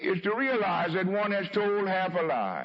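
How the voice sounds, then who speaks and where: A man against noticeable background noise. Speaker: preacher. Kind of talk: sermon delivered to a congregation. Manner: eloquent, slow, impassioned.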